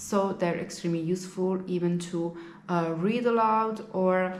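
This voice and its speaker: Speech at a moderate pace with fairly even intonation, carrying audible room echo. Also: woman. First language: Italian. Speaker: language teacher and vlogger. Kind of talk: casual vlog monologue.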